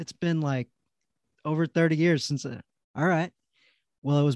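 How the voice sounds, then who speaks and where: Against a quiet background, a man talks at a fairly high pitch in a dry, close sound with no echo. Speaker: podcast host. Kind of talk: casual interview. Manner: enthusiastic.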